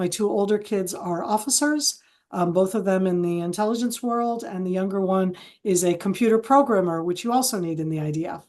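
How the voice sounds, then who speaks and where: A woman with a plain, everyday voice, medium pitch, ordinary pitch variation, a fairly quick pace and an American accent. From Israel, from early childhood; American parents. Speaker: retired military intelligence officer. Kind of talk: interview. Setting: video call.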